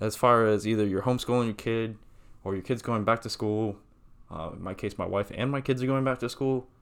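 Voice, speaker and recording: This man speaks at a medium pitch with fairly even intonation. His pace is fairly quick. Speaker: podcast co-host. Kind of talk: casual banter chat. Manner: halting, many ums, sometimes fast or mumbling.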